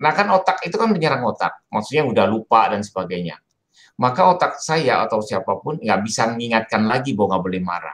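Against a quiet background, the speaker moves at a fairly quick pace with very wide pitch swings. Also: man. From Indonesia. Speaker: Jesuit priest lecturer; priest giving an online lecture. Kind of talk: lecture. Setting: video call. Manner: animated. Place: home room. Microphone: video call.

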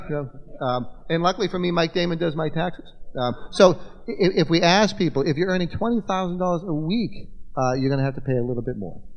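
A man talks at a high pitch and a fairly quick pace with lively intonation. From Massachusetts. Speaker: state legislator; panelist. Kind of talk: panel forum discussion. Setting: stage with audience, microphone. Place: hall. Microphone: podium.

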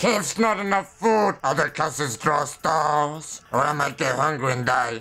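Putting on a character voice, a man speaks at a fairly high pitch with hardly any pauses. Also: moderate pace. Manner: broken, grunting simple speech.

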